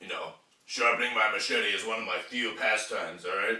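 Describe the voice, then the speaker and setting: This is a man speaking. His pace is moderate. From United States. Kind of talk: comedic rant to camera.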